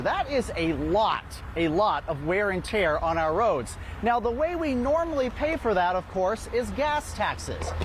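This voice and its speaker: A man with a high pitch talks at a fairly slow pace, his pitch swinging very widely while his loudness stays very even. Noticeable background noise is present. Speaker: TV news reporter and anchor. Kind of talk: TV news report.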